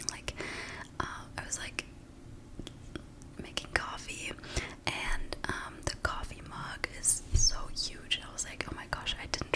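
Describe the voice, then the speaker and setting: The speaker whispers fairly slowly, with long, frequent pauses. There is noticeable background noise. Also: woman. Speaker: ASMR creator. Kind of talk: casual talk to camera, ramble. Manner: whispered, soft-spoken.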